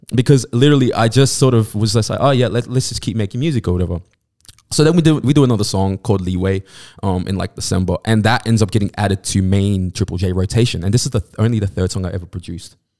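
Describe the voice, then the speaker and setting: Recorded very cleanly against silence, the dry, close sound carries a dark, mellow tone and a Sydney accent, delivered very fast with ordinary pitch variation. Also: man, fairly low pitch for a man. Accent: Australian (Sydney). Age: 20s. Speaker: DJ and music producer. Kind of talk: casual chat.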